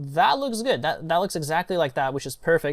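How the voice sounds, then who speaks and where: The speech moves at a fairly quick pace with lively intonation, on a very clean recording with a silent background. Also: man. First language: not English. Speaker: online marketing tutor. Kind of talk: screen-share tutorial. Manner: casual, with many fillers.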